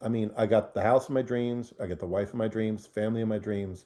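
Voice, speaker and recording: Over a quiet background, a man with a dark, mellow tone talks at a moderate pace. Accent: American. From New Jersey. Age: 60s. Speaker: real estate investor. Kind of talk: casual interview conversation. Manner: halting, many fillers and restarts.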